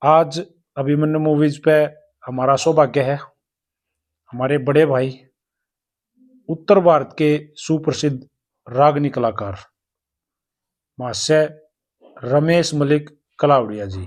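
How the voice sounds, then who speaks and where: A man with a Haryanvi accent talks at a fairly high pitch with ordinary pitch variation, leaving long, frequent pauses. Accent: Haryanvi-accented Hindi. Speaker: interviewer. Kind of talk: interview.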